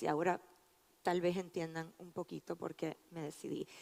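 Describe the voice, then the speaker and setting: The voice keeps a monotone, flat intonation at a fairly slow pace. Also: woman. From Puerto Rico. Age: 50s. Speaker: physician and researcher. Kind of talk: conference talk.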